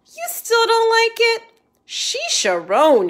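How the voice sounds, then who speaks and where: The speaker is a woman doing a put-on character voice. She pitches it extremely high. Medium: read story. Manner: playful, contrary.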